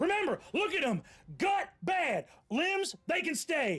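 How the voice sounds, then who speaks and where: A man puts on a character voice with an extremely high pitch, delivering his lines at a fairly slow pace. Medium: actual play. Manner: gruff, clipped.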